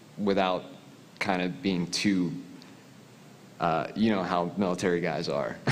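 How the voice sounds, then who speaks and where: With an American accent, a man speaks at a very deep, low pitch and fairly even intonation. His pace is fairly slow, with long, frequent pauses and audible room echo. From US Northeast (Philadelphia). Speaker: military veteran, audience questioner. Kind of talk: audience question at panel.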